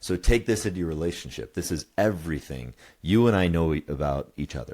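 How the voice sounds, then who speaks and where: A man with a very deep, low pitch talks at a fairly quick pace with lively intonation on a very clean recording with a silent background. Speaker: couples coach and podcast co-host. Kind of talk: podcast conversation explaining a model. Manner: halting, stammers and says um a lot.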